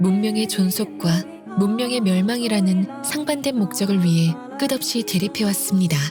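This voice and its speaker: Over music in the background, a woman with a medium pitch speaks at a fairly slow pace with lively intonation. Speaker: voice actor (game character's voice actor reading story summary). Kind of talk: story summary narration.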